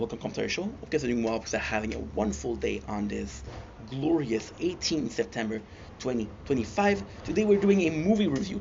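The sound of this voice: Fast and with lively intonation, a man speaks in a slightly mellow tone marked by vocal fry. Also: medium pitch for a man, few pauses.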